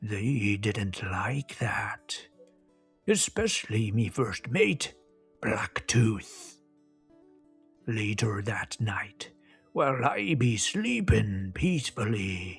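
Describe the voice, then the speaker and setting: A man uses a put-on character voice at medium pitch, speaking at a very slow pace. His long pauses come often, and faint music plays in the background. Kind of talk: children's story narration. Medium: read story. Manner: boastful, theatrical.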